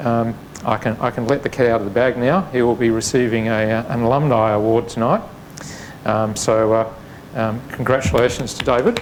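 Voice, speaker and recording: A man with an Australian accent talks at a fairly quick pace and medium pitch, his intonation fairly even, with noticeable background noise behind him. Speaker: facility manager. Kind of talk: event introduction. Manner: hesitant, many fillers.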